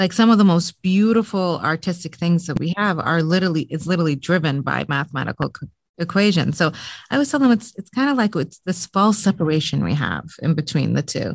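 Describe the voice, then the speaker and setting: Speaking very fast with vocal fry, a woman uses lively intonation at a fairly low pitch. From Lebanon. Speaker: podcast host, bakery owner. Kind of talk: interview conversation.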